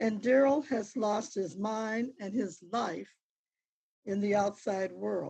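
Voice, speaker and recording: A woman speaks at a very slow pace in a fairly high, somewhat breathy voice. Her pitch varies in an ordinary way. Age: 80s+. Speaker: minister, convicted man's grandparent. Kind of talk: court victim-impact statement, read. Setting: courtroom. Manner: formal.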